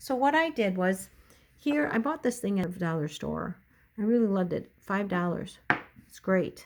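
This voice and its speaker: Amid noticeable background noise, a woman speaks at a moderate pace and medium pitch. Her pitch swings very widely and her loudness rises and falls sharply. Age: 60s. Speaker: lifestyle video blogger. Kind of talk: casual tutorial. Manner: chatty, conversational.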